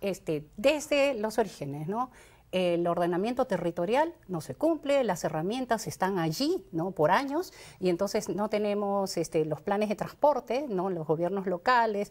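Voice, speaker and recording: A woman speaks at a moderate pace in an unremarkable speaking voice, medium in pitch with lively intonation. The recording is very clean, with a silent background. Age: 60s. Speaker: congressional candidate. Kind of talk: interview.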